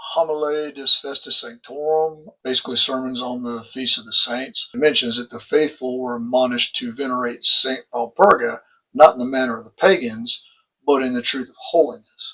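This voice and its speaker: With a Texan accent, a man speaks at medium pitch in a bright, sharp tone, with fairly even intonation, a moderate pace and big swings in loudness. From Texas. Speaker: religious educator and channel host. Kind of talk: lecture.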